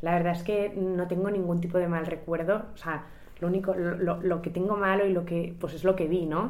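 A woman's fairly low voice with audible room echo. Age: 20s. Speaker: singer and charity organizer. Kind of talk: interview conversation.

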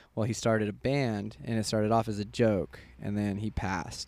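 With a Midwestern American accent, a man speaks in a fairly low pitch with monotone, flat intonation. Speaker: guest. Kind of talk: casual chat.

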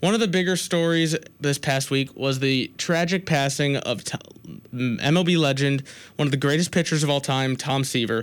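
A man talks in an unremarkable speaking voice, fairly high in pitch with ordinary variation. He moves at a fairly quick pace in a very clean recording with a silent background. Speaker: college radio sports host. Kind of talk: college radio sports talk, opinionated rant then show sign-off. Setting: college radio studio, co-host six feet apart. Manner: heated, rapid, self-interrupting, stumbling over restarts and false starts; indignant, sarcastic, pushing his opinions.

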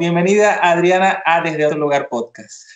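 Noticeable background noise behind a man with a high pitch, a moderate pace and ordinary pitch variation. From eastern Venezuela. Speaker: podcast host. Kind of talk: interview. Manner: halting, repeats words.

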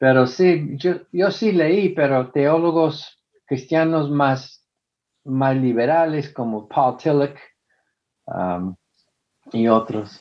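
A man with an American accent speaks at a very slow pace, his pitch fairly high and his intonation lively. Long pauses come often. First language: English (speaking Spanish). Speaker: former preacher, atheist activist. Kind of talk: interview. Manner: halting.

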